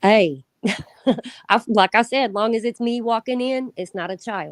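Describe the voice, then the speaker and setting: A woman with a Southern accent, fairly high in pitch, at a fairly slow pace with ordinary pitch variation, in a dry, close sound with no echo. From Indiana. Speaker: predator catcher. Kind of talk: casual chat.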